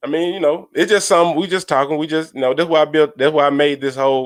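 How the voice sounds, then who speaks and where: Very fast speech from a man with a Southern accent, fairly high pitch, and fairly even intonation, on a very clean recording with a silent background. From US South. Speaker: sports fan podcaster. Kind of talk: casual live stream commentary.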